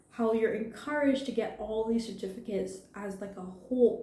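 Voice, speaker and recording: Speech at a moderate pace with ordinary pitch variation and audible echo from the room. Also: woman. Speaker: video blogger, social commentary. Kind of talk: unscripted personal commentary.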